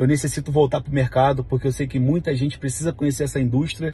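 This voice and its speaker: With a Rio de Janeiro accent, a man speaks in a dark, mellow, somewhat breathy voice with fairly even intonation. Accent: Carioca Brazilian Portuguese. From Brazil, Rio de Janeiro (Vigário Geral). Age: 30s. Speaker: network marketing leader. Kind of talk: testimony. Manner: casual. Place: car. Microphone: phone near.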